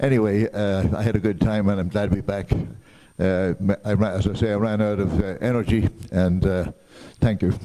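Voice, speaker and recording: A man with an American accent, a fairly low pitch and a moderate pace. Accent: Irish brogue and New Jersey. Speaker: Rotary club member. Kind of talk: casual club meeting remarks. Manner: halting.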